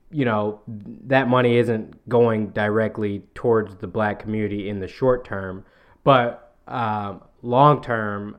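A man's fairly low voice with a Southern US accent, fairly even intonation and a quiet background. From US South. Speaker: podcast co-host. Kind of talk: casual chat.

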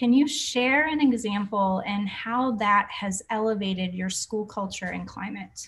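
A woman with an American accent speaks at a medium pitch in a somewhat breathy voice. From Boston, US. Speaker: podcast host, wellness educator. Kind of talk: interview. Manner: animated.

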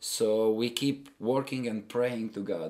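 A man speaks with an Albanian accent and ordinary pitch variation. The recording is very clean, with a silent background. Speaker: missionary. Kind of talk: interview. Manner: halting, many repetitions.

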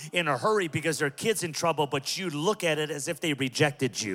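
Speaking with an American accent, a man sounds animated, with a bright, sharp tone, a fairly high pitch, ordinary pitch variation and a fairly quick pace. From Southern California (Pico Rivera). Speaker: pastor. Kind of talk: sermon.

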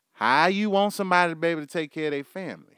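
On a very clean recording with a silent background, a man with a Texan accent sounds animated, his high voice bright and sharp, with a dry, close sound and no echo. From Houston, Texas. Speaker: podcast host. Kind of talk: casual rant monologue. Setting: studio, live stream.

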